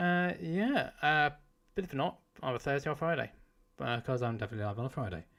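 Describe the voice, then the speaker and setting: A man with a British accent, fairly high-pitched, at a very fast pace with long, frequent pauses and very wide pitch swings, on a very clean recording with a silent background. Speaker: gaming streamer. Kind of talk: live stream sign-off.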